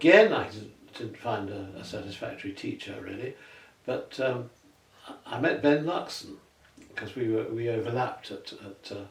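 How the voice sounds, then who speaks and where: Over noticeable background noise, a man speaks at a medium pitch and a moderate pace. His loudness swings widely while his pitch varies in an ordinary way. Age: 80s+. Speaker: retired tenor singer. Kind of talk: interview conversation. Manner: halting, with frequent repetitions.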